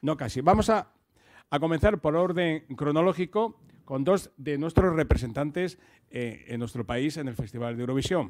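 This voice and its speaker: A man speaks at a moderate pace against a quiet background. His fairly high voice carries lively intonation. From Murcia, Spain; Spain. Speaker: radio host. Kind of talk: moderated talk. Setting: stage with audience. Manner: halting. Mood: relaxed, jokey. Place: hall. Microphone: handheld.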